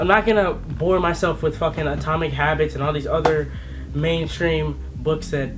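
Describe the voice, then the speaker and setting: Very fast speech from a man, amid noticeable background noise and audible room echo. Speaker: vlogger. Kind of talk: casual vlog talk to camera. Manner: stutter; animated.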